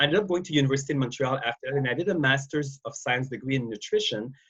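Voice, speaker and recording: His voice sits at a fairly high pitch for a man. It is somewhat breathy. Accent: slight Quebec. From Quebec, Canada. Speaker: wellness industry expert. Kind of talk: interview. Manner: halting, many repetitions and fillers.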